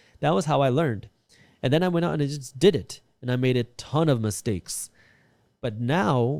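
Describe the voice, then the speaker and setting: A man with a non-native accent talks at a medium pitch in a dark, mellow tone. His intonation is lively, and the recording is very clean with a silent background. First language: not English. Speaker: real estate investor and finance content creator. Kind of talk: interview talk about personal finance.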